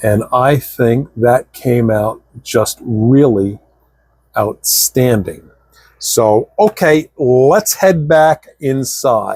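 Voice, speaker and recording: A man's medium-pitched, somewhat breathy voice at a very slow pace, with lively intonation, very even loudness, and a dry, close sound with no echo. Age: 60s. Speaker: scale model building YouTuber. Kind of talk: hobby tutorial vlog. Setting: home workshop. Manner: casual, chatty.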